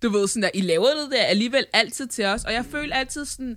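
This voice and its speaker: The tone is bright and sharp, with ordinary pitch variation and a fairly quick pace. The recording is very clean, with a silent background. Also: woman. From Denmark. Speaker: podcast host. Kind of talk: casual chat.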